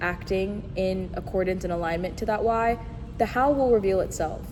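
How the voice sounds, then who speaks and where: Amid noticeable background noise and audible room echo, a woman speaks at a fairly slow pace and medium pitch with ordinary pitch variation. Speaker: podcast host. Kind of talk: solo podcast monologue. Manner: stuttering over words, halting.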